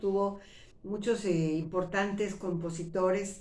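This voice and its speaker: With a central Mexican accent, a woman speaks at a fairly slow pace and a medium pitch amid audible room echo. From Mexico City. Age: 60s. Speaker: retired actress and YouTuber. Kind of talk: personal storytelling monologue. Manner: conversational, with fillers and false starts.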